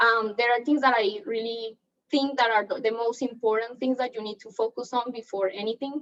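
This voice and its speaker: A woman with a non-native accent talks at a fairly high pitch. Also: fairly even intonation, fairly quick pace. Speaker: real estate agent. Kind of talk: training seminar talk.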